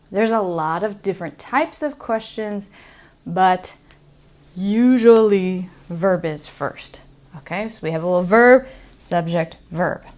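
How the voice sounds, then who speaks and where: A woman with an American accent talks in a normal speaking voice at a medium pitch with ordinary pitch variation. Her pace is fairly slow, and her loudness swings widely. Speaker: English teacher. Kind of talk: English-lesson explanation to camera.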